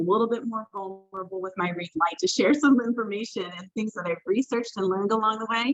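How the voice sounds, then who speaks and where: With ordinary pitch variation, this woman talks at a fairly high pitch. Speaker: diversity trainer. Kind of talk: online training presentation. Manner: fast.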